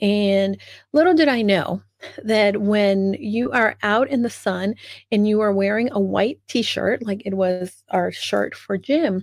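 Dry sound with no echo, a fairly slow pace, ordinary pitch variation and a quiet background. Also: woman. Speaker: speaker. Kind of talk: personal storytelling talk. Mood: animated, humorous. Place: home room. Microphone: studio mic.

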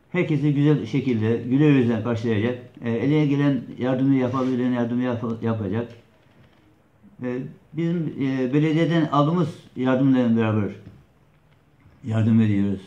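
Audible room echo surrounds a man with a dark, mellow tone who speaks at a moderate pace with ordinary pitch variation and long, frequent pauses. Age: 60s. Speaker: neighbourhood headman. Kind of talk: interview answer. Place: office. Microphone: camera far.

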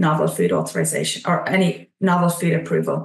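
In an Irish accent, a woman speaks at a moderate pace with a fairly low pitch and vocal fry, audible room echo, and a quiet background. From Ireland. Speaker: nutrition scientist, regulatory consultant; presenter. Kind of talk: webinar presentation. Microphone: video call.

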